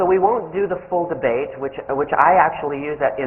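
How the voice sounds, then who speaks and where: A man speaks at a fairly quick pace. Both room echo and noticeable background noise can be heard. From Canada. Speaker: business professor. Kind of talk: lecture. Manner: casual, joking with audience.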